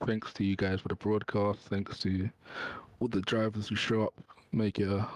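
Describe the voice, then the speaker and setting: Soft-spoken and at a moderate pace, a man talks at a fairly low pitch with monotone, flat intonation in a dry, close sound with no echo. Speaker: sim racing driver. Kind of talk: post-race interview.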